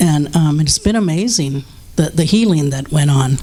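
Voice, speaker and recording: A woman talks with lively intonation. There is noticeable background noise. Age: 60s. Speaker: drug and alcohol counselor. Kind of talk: testimony. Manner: halting.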